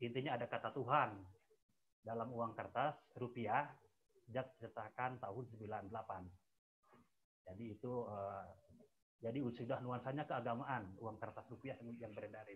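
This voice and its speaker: The man talks at a fairly slow pace and a medium pitch. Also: fairly even intonation. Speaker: researcher; webinar presenter. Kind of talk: webinar presentation. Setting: video call. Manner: halting. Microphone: too quiet; video call.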